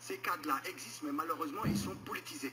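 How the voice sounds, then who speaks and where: A man at a very fast pace, with noticeable background noise. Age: 60s. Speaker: political candidate. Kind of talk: political interview. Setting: radio studio.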